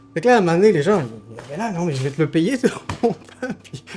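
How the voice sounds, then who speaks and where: Very fast and lively, a man speaks at a high pitch. Noticeable background noise runs beneath him. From southern France (Toulouse). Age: 30s. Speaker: artisan baker. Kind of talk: documentary interview. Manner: hesitant, many fillers.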